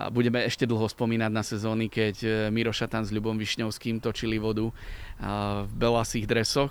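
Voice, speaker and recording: Speaking at a moderate pace and medium pitch, a man keeps a monotone, flat intonation. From Slovakia, Liptov region. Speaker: radio sports presenter. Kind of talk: casual interview. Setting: outdoors in a park.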